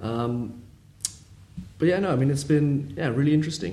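A man with a London accent at a very fast pace, ordinary pitch variation and audible room echo. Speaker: family business employee. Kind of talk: interview conversation. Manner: hesitant.

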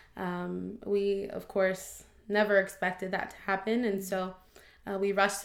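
At a moderate pace, a woman speaks in an ordinary speaking voice of medium pitch. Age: 20s. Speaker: preschool teacher and cancer survivor. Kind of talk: testimony.

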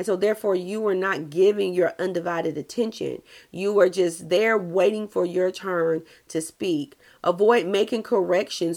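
A woman with a medium pitch talks at a moderate pace, her pitch varying in an ordinary way. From US South. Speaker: social worker and life coach. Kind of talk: solo podcast advice talk. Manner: expressive, fluctuating voice; naturally loud.

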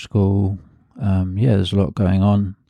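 In a quiet background, a man talks in a fairly low pitch with a dark, mellow tone. His intonation is monotone and flat. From London, England (Hackney). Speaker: artist and photographer. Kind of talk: interview conversation. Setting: host's home. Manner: hesitant with many fillers.

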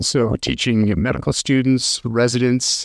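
A man with an American accent is heard in a dry, close sound without echo on a very clean recording with a silent background. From US Midwest, rural western Nebraska. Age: 40s. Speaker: political candidate, emergency physician and military officer. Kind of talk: interview.

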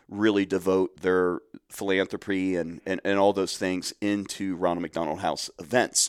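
In a very clean recording with a silent background and a dry, close sound with no echo, a man with a Midwestern American accent speaks at a fairly slow pace and a fairly low pitch. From Central Ohio. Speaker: nonprofit program director. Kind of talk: podcast interview.

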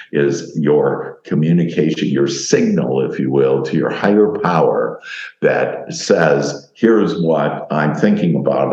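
A man talks at a moderate pace with ordinary pitch variation. Noticeable background noise runs under the recording. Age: 60s. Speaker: life coach and author. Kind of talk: talk-style interview. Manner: warm, positive, talkative.

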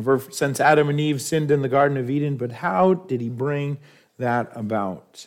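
A man with an American accent and an ordinary speaking voice, fairly high in pitch, at a moderate pace with ordinary pitch variation. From New York. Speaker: pastor. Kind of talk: sermon.

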